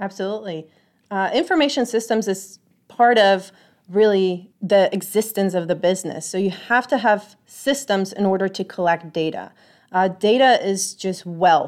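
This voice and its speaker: A woman with a Polish accent at a medium pitch and moderate pace, ordinary pitch variation, on a very clean recording with a silent background. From Poland. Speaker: IT auditor and instructor. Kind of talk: interview. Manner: frequent fillers (uh, um).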